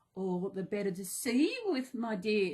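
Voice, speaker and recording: A woman puts on a rumbling, growling character voice at a medium pitch, speaking at a moderate pace. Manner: menacing.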